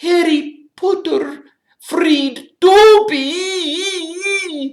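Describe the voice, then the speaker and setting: In a put-on character voice, the speaker sounds shrill at an extremely high pitch. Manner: earnest, adoring.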